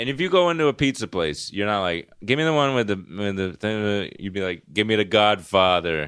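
A man's fairly low, fairly quick voice with an East Coast US accent and lively intonation, over a quiet background. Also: hardly any pauses. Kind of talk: casual chat.

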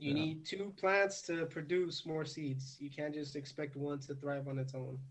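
Audible room echo surrounds a man's somewhat breathy voice. He speaks at a moderate pace with fairly even intonation. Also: fairly high pitch for a man. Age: 20s. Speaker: cactus and plant collector. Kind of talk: casual chat.

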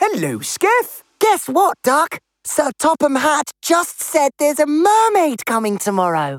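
High and put-on, this character voice swings very widely in pitch at a fairly slow pace with hardly any pauses. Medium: audio drama.

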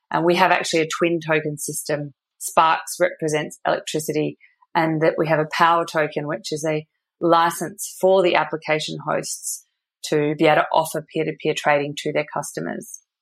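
A woman with an Australian accent talks at a moderate pace in a very deep, low voice with monotone, flat intonation. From Australia, Perth. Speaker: energy tech company co-founder. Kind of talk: interview.

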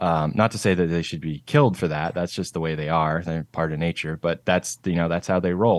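Over a quiet background, a man talks at a fairly quick pace in a very deep, low pitch. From Canada, Vancouver Island, British Columbia. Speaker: cinematographer. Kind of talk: interview.

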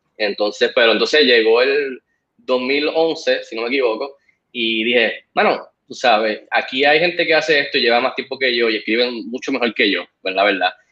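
With a plain, everyday voice, a man talks at a moderate pace, his medium pitch showing ordinary variation. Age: 40s. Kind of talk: casual interview.

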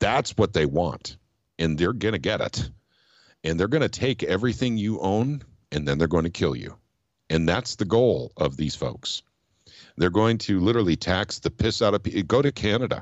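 A man speaks at a moderate pace in a fairly low voice with vocal fry and very wide pitch swings. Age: 50s. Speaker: political activist. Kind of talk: casual chat.

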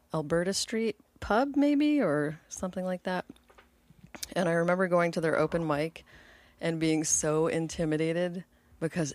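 At a middling speed, a woman talks with a plain, everyday voice pitched rather low. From US, moved often (Georgia, Texas, Pennsylvania, Buffalo). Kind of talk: casual chat.

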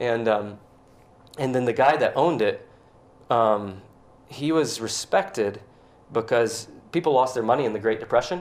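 Pausing long and often, a man speaks at medium pitch and a moderate pace with ordinary pitch variation. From US South, Georgia (suburbs of Atlanta). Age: 40s. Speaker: tattoo artist and visionary painter. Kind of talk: casual interview chat. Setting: at his home.

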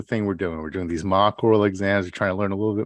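This is plain reading aloud. Its intonation is fairly even.

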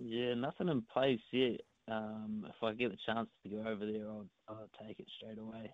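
In a New Zealand accent, a man speaks at a moderate pace with fairly even intonation and big swings in loudness. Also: medium pitch for a man. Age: 20s. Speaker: darts player. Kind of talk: interview. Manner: halting.

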